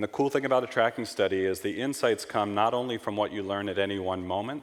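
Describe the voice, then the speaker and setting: Speaking very fast with a New York accent, a man uses a fairly low pitch with ordinary pitch variation. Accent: American (New York). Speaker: market researcher / conference speaker. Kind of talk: conference presentation.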